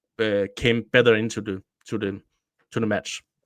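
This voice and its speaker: A man with a Danish accent speaks at a medium pitch in a flat, monotone way. The recording is very clean and dry, close, with no echo and a silent background. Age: 30s. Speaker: football journalist and podcaster. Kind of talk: casual podcast chat. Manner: halting.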